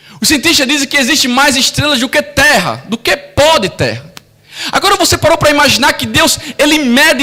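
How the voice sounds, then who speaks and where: A raised, projected voice comes through with a Brazilian accent and ordinary pitch variation. The pace is moderate, and noticeable background noise is present. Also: man. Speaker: pastor. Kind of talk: sermon. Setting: church.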